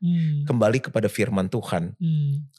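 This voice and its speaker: Somewhat breathy and medium in pitch, a man talks with lively intonation in a dry, close sound with no echo. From Jakarta, Indonesia. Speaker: pastor. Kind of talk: casual interview chat. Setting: apartment sofa.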